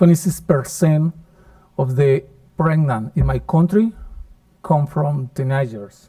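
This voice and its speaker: A man's fairly high, dark and mellow voice, somewhat breathy, proceeds at a fairly slow pace with long, frequent pauses. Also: ordinary pitch variation. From Colombia. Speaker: professor. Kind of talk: conference lecture.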